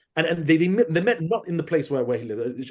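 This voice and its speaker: A man's high, animated voice with a London accent and very wide pitch swings. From London, England. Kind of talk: podcast interview, historical lecture. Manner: animated storytelling with many repetitions.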